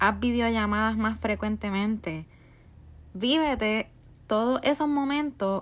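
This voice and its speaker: A woman speaks in a Puerto Rican accent at a fairly slow pace. Her voice is fairly high in pitch. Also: very clean recording, silent background. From Puerto Rico. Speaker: podcast host, life coach. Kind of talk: motivational monologue.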